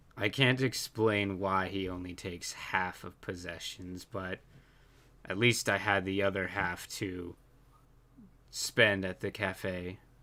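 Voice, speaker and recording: A man's put-on character voice, very deep and raspy, monotone and flat at a fairly slow pace, on a very clean recording with a silent background. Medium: actual play.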